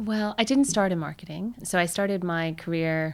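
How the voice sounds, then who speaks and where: Ordinary pitch variation and a moderate pace come through in a very clean recording with a silent background. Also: woman. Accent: American. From United States. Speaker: marketing executive. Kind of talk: interview. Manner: animated.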